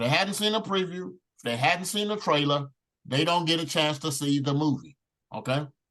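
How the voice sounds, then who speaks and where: Loud and animated, a man speaks at a fairly quick pace in a fairly high pitch, his bright, sharp tone carrying lively intonation. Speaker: network marketing team leader. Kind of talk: training talk.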